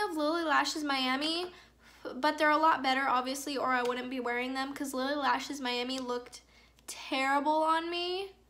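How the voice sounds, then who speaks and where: A woman speaks at a moderate pace in a high pitch with a bright, sharp tone. Her voice is raised and projected, and the room echo is audible. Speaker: beauty vlogger. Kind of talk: makeup tutorial. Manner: monotone.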